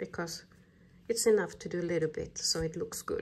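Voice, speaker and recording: A woman speaks with a non-native accent. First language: not English. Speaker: crochet pattern designer. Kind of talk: crafting tutorial talk-through. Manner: slow.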